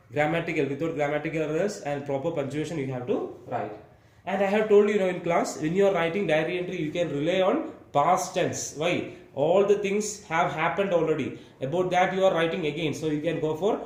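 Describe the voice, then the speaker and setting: A man's high voice at a fairly quick pace, ordinary pitch variation, noticeable background noise and audible room echo. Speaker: school teacher. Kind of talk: exam-prep tutorial lecture. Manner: fast.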